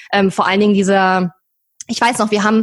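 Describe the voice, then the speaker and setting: Very fast, somewhat breathy speech with fairly even intonation, on a very clean recording with a silent background. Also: woman. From eastern Germany. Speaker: online entrepreneur. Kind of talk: interview.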